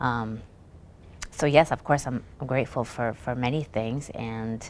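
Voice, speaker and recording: The woman has a very deep, low pitch and an American accent. She talks at a fairly slow pace with fairly even intonation. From Iraq (Baghdad) then US from age 10. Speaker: author. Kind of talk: interview.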